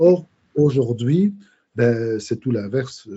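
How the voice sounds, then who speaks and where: A man is speaking. His voice is somewhat breathy. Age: 60s. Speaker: biochemist and micronutrition specialist. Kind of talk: podcast interview. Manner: halting, many hesitations.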